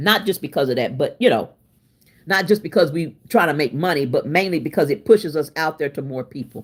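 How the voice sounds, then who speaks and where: A woman with a very deep, low pitch talks fairly quickly in an animated tone with lively intonation. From Oklahoma City, US. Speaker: cooking livestreamer. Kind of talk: casual live-stream chat. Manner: loud.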